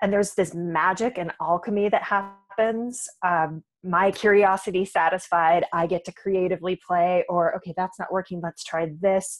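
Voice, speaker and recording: A woman at a moderate pace with hardly any pauses, fairly even intonation, and a quiet background. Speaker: voice coach. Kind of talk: interview. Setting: remote call. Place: home room. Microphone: earbuds.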